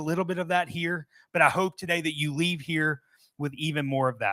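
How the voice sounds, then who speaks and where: On a very clean recording with a silent background and a dry, close sound with no echo, a man with a slight Southern US accent speaks in a bright, sharp tone with ordinary pitch variation. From US South, Mobile, Alabama. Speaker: software company presenter. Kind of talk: presentation to live audience. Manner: casual, conversational.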